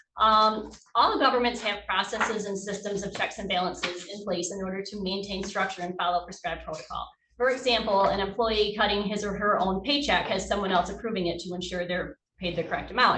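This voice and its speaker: Speaking very fast at a medium pitch, a woman keeps fairly even intonation in audible room echo. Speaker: auditor presenting to county board. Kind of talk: formal presentation to board.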